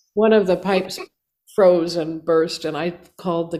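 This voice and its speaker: Her dark, mellow tone and fairly low pitch stay in a flat monotone as the woman speaks at a moderate pace. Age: 70s. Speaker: singer and composer. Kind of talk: interview. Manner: halting.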